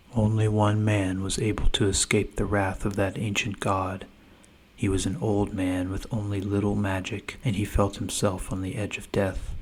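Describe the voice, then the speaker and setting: A man's fairly low, somewhat breathy voice in a flat monotone. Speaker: audiobook narrator. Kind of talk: sleep story. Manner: soft-spoken, slow.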